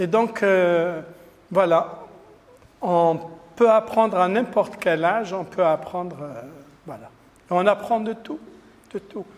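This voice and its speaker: Over noticeable background noise, a man with a high voice speaks at a very slow pace, with long, frequent pauses and ordinary pitch variation. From Algeria. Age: 60s. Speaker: Islamic lecturer. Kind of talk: religious talk. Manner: hesitant with many fillers.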